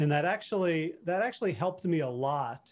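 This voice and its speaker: An unremarkable speaking voice from a man, fairly high in pitch, with ordinary pitch variation against a quiet background. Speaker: behavior change coach and podcaster. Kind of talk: podcast interview.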